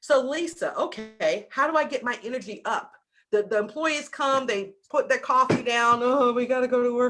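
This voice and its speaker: A woman with a slight Southern US accent speaks at a moderate pace and high pitch in an animated tone. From US South. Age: 50s. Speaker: business coach. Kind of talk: masterclass talk. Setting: video call.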